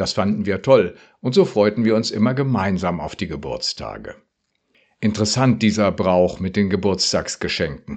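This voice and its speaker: Against a quiet background, an unremarkable speaking voice moves at a moderate pace with ordinary pitch variation. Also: man. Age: 60s. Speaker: retired pastor. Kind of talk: radio devotional.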